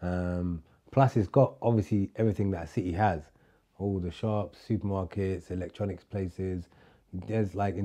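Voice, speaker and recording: A man with a London accent speaks at a very deep, low pitch in a dark, mellow tone with fairly even intonation against a quiet background. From London, UK (born in Somalia). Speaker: chef. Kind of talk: casual interview.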